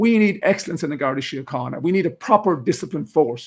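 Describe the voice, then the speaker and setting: A man talks with an Irish accent at a fairly quick pace. His tone is animated. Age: 60s. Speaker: retired police officer. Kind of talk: interview discussion.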